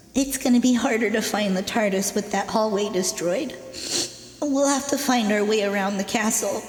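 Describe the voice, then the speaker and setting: A female-sounding put-on character voice, pitched fairly high for a woman, with a slight echo and clear background noise. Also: moderate pace. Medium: audio drama. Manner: sad, shaken.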